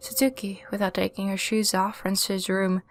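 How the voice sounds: The voice reads naturally. Nothing about the reading sounds strained.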